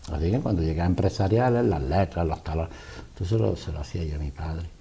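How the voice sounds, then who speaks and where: With a very deep, low pitch and a dark, mellow tone, a man talks at a very fast pace, using lively intonation and vocal fry. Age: 60s. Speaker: businessman. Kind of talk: interview.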